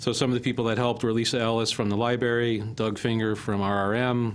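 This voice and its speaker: Against light background noise, a man talks in a flat monotone. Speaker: public works official; presenter. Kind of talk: presentation. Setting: council chambers. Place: meeting room. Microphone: podium.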